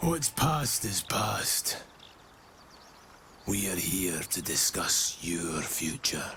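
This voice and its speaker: A man puts on a raspy character voice with a very deep, low pitch and very wide pitch swings, speaking at a very slow pace with long, frequent pauses over clear background noise. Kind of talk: dark fantasy game dialogue. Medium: video game. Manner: slow, grave, measured.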